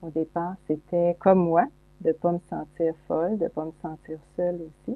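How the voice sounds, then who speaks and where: A woman's plain, everyday voice, fairly low in pitch, at a moderate pace with fairly even intonation. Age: 60s. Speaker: psychologist and speaker. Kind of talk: interview conversation.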